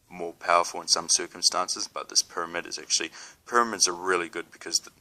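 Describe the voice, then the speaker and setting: Speaking at a very fast pace, a man with a New Zealand accent is heard in a dry, close sound with no echo. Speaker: spiritual video blogger. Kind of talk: casual talk to camera. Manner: halting, many fillers.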